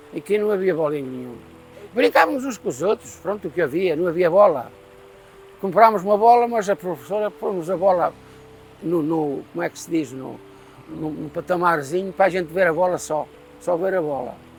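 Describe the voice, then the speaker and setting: Against background music, a man with a high pitch talks at a moderate pace with ordinary pitch variation, big swings in loudness and long, frequent pauses. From Portugal, Castelo Branco district (Pomar). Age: 80s+. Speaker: elderly villager. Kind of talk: oral history interview.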